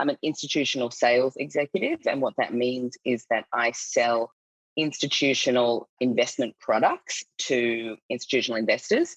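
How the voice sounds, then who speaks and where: A woman speaks at a moderate pace with very even loudness. The sound is dry and close, with no echo. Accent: Australian. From Australia. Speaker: finance executive, nonprofit director. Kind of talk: podcast interview.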